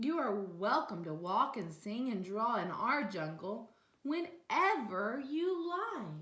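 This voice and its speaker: Putting on a growling character voice, a woman speaks fairly high and fairly slowly, her pitch swinging very widely. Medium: read story.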